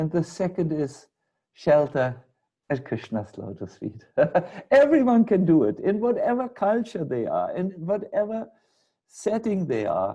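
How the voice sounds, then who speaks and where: A dark, mellow tone with very wide pitch swings at a fairly slow pace. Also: man, high pitch for a man. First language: German. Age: 60s. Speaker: spiritual teacher. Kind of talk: lecture. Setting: video call.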